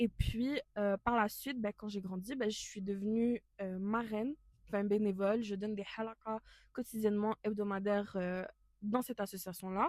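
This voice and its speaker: At a moderate pace, a woman speaks with fairly high pitch and fairly even intonation in a dry, close sound with no echo. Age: 20s. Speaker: podcast co-host, student volunteer. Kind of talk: casual podcast chat. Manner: hesitant, many fillers.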